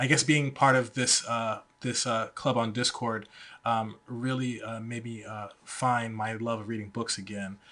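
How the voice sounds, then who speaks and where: With an American accent, the words come out fairly slowly. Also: man. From Georgia, US. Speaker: guest, IT worker. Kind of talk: casual podcast chat. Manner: hesitant, filler words.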